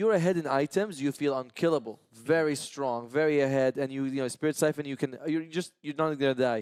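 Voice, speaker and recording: A man talks at a very fast pace with a non-native accent. The recording is very clean with a silent background and a dry, close sound with no echo. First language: not English. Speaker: esports caster. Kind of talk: live commentary panel discussion.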